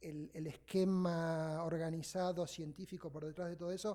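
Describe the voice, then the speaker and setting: The man's voice is high-pitched with a dark, mellow tone. His intonation is fairly even. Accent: Buenos Aires. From Argentina, Buenos Aires. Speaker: sociologist of religion, invited lecturer. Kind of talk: academic lecture. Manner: fast.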